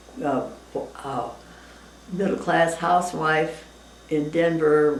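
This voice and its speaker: A woman speaks at a very slow pace with a very deep, low pitch and long, frequent pauses. Noticeable background noise and audible room echo fill the recording. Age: 90s. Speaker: interviewee, retired teacher. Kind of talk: casual interview. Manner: halting.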